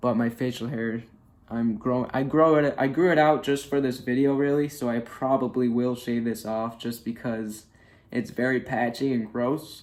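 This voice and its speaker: At a moderate pace, a man uses an ordinary speaking voice with medium pitch and fairly even intonation. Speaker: vlogger. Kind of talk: casual video diary. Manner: casual, filler-heavy.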